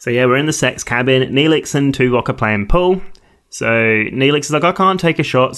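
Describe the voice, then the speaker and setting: A man with an unremarkable speaking voice talks at a medium pitch and a fairly quick pace. His intonation is lively, and the background is quiet. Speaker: podcast co-host. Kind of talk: casual podcast discussion. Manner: joking, frequently laughing.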